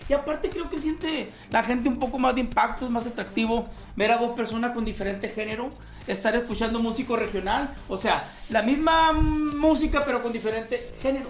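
Through audible room echo and noticeable background noise, a man speaks at an extremely high pitch and a fairly quick pace. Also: ordinary pitch variation. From Sonora, Mexico. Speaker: regional Mexican singer. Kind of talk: casual interview chat.

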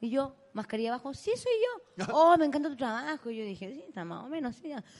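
Lively intonation at a very fast pace. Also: woman. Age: 30s. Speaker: comedian and podcast co-host. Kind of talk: live comedy podcast chat. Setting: stage with live audience.

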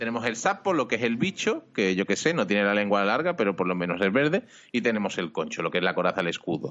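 At a very fast pace, a man with fairly low pitch keeps very even loudness and lively intonation. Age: 40s. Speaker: podcast co-host. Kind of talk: casual chat.

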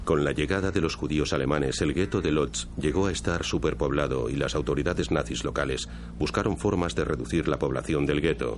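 Against noticeable background noise, a man with a very deep, low pitch speaks in a solemn tone at a fairly quick pace, with hardly any pauses, very even loudness and ordinary pitch variation. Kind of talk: scripted documentary narration (Spanish dub). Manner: formal, measured, solemn.

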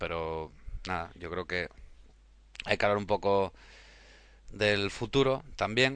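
A man talks very slowly over a quiet background. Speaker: photography community founder. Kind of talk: casual chat.

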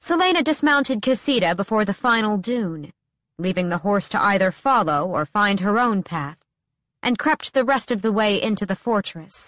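Medium-pitched woman at a moderate pace, with a dramatic tone and lively intonation, dry and close with no echo. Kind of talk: audiobook narration of fantasy fiction. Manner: dramatic, urgent narration with tense pacing in action scenes.

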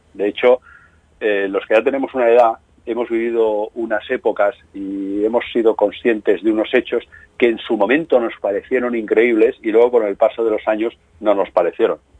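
A man's medium-pitched, monotone, flat delivery. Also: moderate pace. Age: 50s. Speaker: crime novelist. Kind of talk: interview.

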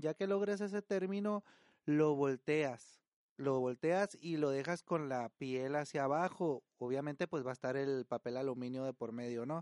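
In a quiet background with a dry, close sound and no echo, a man talks fairly slowly at a fairly high pitch. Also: ordinary pitch variation. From Sinaloa, Mexico. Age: 40s. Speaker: podcast host. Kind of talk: casual storytelling and cooking tutorial. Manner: halting, frequent repetitions.

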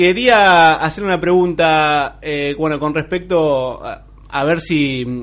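Against a quiet background, a man talks at a high pitch with ordinary pitch variation and hardly any pauses. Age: 20s. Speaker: radio host. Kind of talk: radio show with interview. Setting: radio studio, live broadcast.

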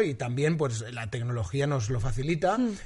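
A man's fairly high, somewhat breathy voice at a fairly quick pace, with lively intonation. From Valencia, Spain. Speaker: TV presenter and comedian. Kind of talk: casual interview chat.

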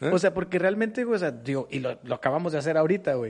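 A man talks at a very fast pace. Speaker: podcast co-host. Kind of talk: casual chat.

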